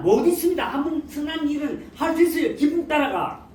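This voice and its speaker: A moderate pace of speech with noticeable background noise behind it. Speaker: pastor. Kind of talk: sermon. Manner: halting, with many restarts.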